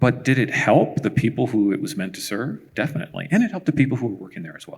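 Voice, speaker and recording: Talking at a very fast pace, a man with a medium pitch shows vocal fry, lively intonation and big swings in loudness. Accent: American. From San Jose, California. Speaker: tech engineer, keynote speaker. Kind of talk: panel Q&A.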